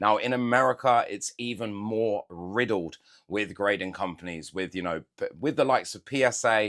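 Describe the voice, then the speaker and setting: A man's fairly low voice with a British accent at a fairly quick pace, in a very clean recording with a silent background. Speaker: Pokémon card collector YouTuber. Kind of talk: casual unboxing chat.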